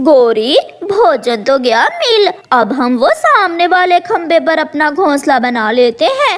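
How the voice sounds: At a fairly slow pace, a cartoonish character voice speaks in a high pitch.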